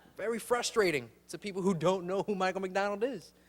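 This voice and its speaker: A man at a very fast pace, high in pitch, with ordinary pitch variation. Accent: Chicago. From Chicago, Humboldt Park. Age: 20s. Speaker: comedian. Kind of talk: stand-up.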